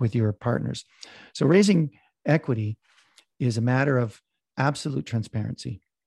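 A dark, mellow, somewhat breathy voice with a Canadian accent comes through with a dry, close sound and no echo. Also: man. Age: 50s. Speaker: real estate investor. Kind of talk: interview. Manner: talkative.

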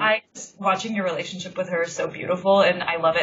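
Over noticeable background noise, a woman talks at a very fast pace. Her pitch is fairly low. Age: 30s. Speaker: podcast host, freelance journalist. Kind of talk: casual interview chat. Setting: Skype call. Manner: animated.

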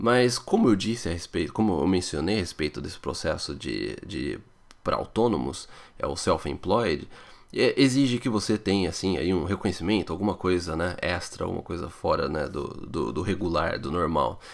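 With vocal fry and lively intonation, a man speaks at a very deep, low pitch. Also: moderate pace, very clean recording, silent background. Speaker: podcast host answering immigration questions. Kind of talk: listener Q&A podcast.

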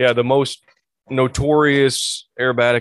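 The speaker has a West Tennessee accent. Their intonation stays fairly even. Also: man. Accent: US Southern (West Tennessee). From West Tennessee (Obion County). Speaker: flight instructor. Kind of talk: casual interview.

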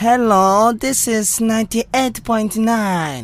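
This put-on character voice sounds female, pitched fairly high for a woman and delivered at a very slow pace. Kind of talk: local, non-standard English.

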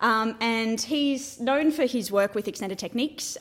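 The woman's pitch is fairly high. Her pitch variation is ordinary. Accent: Australian. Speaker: flute student. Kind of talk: interview.

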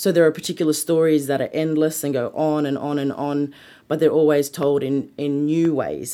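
A woman with an Australian accent, her very deep, low voice dark and mellow in tone, at a very fast pace. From Sydney, Australia. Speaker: museum creative producer. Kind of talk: interview.

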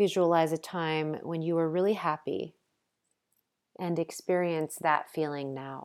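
A woman's plain, everyday voice, fairly low and at a fairly slow pace, on a very clean recording with a silent background. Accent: American. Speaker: yoga teacher and podcast host. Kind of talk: guided meditation. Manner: slow, calm, soothing.

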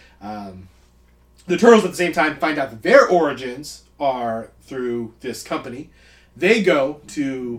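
A man with an ordinary speaking voice, fairly high in pitch, at a fairly slow pace, with lively intonation and big swings in loudness. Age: 30s. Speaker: movie podcast co-host. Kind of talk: casual chat.

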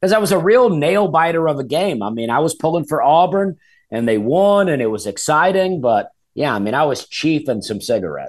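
Against a quiet background, a man with a fairly high voice talks fairly quickly, his pitch swinging very widely. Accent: American. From Alabama, US South. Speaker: stand-up comedian. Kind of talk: casual chat.

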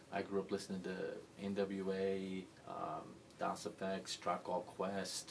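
Through noticeable background noise, a man speaks very slowly at a fairly low pitch in a monotone, flat way. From US (moved from Libya and Pakistan at age 12). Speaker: college basketball coach. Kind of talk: interview.

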